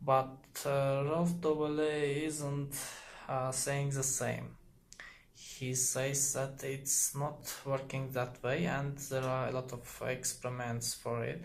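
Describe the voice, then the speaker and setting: A man with a non-native accent speaks very slowly in a flat, monotone, medium-pitched voice. He sounds somewhat breathy, with audible room echo. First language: not English. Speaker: YouTuber explaining psychology. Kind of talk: casual explainer monologue. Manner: halting, many fillers.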